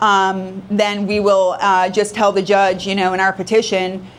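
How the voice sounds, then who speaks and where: A woman's medium-pitched, monotone, flat delivery with audible room echo. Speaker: probate attorney. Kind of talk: lecture. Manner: fast.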